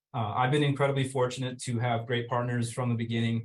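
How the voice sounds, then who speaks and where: Talking very fast, a man sounds somewhat breathy at a medium pitch. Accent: American. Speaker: fire department EMS officer. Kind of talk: webinar presentation. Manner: hesitant, many fillers.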